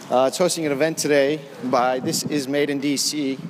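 With an American accent, a man speaks at a medium pitch and with fairly even intonation over noticeable background noise. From Washington, D.C. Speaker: podcast host. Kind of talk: casual on-location interviews. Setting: outdoors walking, then arts center event.

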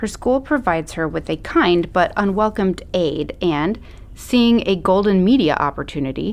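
Text read aloud plainly, the intonation lively.

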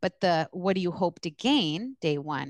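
In an American accent, a woman with a fairly low pitch and vocal fry speaks in a dry, close sound with no echo against a quiet background. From US East Coast. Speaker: social work supervisor and educator. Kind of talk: interview.

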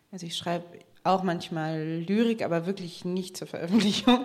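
Audible room echo surrounds the voice. A woman with a fairly low pitch speaks at a fairly slow pace with fairly even intonation. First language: bilingual German and American English (speaking German). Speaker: author and journalist. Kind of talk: panel discussion. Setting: stage with audience.

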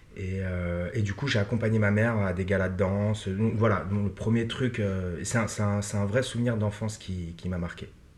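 A man speaks at a moderate pace with a fairly low pitch and fairly even intonation. Audible room echo surrounds his voice. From Paris suburbs, France. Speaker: actor. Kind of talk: interview. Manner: halting, many fillers and repetitions.

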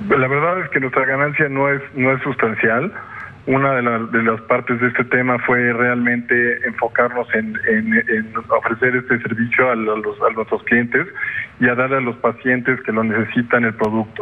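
Over background music, a man speaks with very even loudness and fairly even intonation. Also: medium pitch for a man, moderate pace. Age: 40s. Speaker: businessman. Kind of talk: interview. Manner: halting.

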